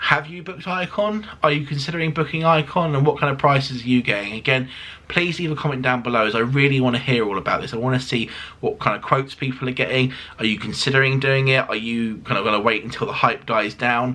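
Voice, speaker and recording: A man with a British accent talks at a very fast pace. Background noise is noticeable. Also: medium pitch for a man, ordinary pitch variation. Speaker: cruise vlogger. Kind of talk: casual review monologue. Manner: animated.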